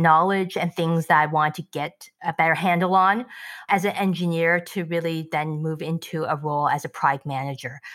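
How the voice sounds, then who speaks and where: A woman's bright, sharp tone at a fairly low pitch, moderate pace and fairly even intonation, on a very clean recording with a silent background. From Canada, immigrant from Shanghai, China. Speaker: tech product executive. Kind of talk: casual interview.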